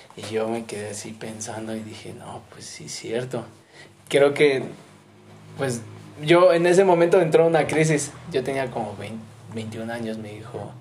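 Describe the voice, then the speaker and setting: Speaking at a fairly slow pace with long, frequent pauses, a man of medium pitch uses lively intonation and big swings in loudness, with audible room echo and noticeable background noise. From Mexico City. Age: 20s. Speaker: missionary. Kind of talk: casual interview.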